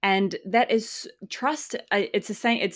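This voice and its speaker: A woman in a New Zealand accent speaks with fairly even intonation on a very clean recording against a silent background. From New Zealand, small farming town. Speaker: community founder. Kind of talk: casual interview.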